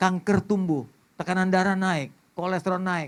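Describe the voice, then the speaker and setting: His voice is high in pitch and animated in tone. The man keeps a moderate pace. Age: 60s. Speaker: pastor. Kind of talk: sermon.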